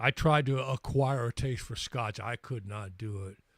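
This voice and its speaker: Somewhat breathy speech in an American accent comes at a fairly slow pace with ordinary pitch variation. The recording is very clean, with a silent background and a dry, close sound with no echo. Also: man. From US Midwest, St. Louis. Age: 60s. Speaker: livestream host and musician. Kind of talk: casual live chat. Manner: halting, repeats words.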